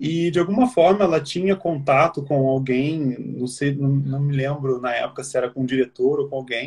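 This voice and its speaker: The voice is a man's, pitched fairly high. It carries some breathiness. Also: moderate pace, hardly any pauses. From Brazil, Rio de Janeiro. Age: 30s. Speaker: actor. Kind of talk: interview.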